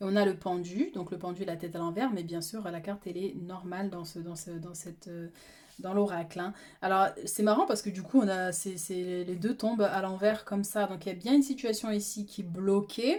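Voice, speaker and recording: A woman's medium-pitched voice with ordinary pitch variation and big swings in loudness. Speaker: tarot reader. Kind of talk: tarot reading. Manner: fast; halting.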